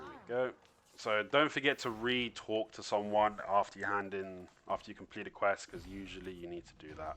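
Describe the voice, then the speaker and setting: Over music in the background, a man talks with a fairly low pitch. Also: ordinary pitch variation, moderate pace, big swings in loudness. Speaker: gaming youtuber. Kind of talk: gameplay tutorial commentary. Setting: at home, others sleeping. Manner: low-toned, subdued; quiet, holding back volume.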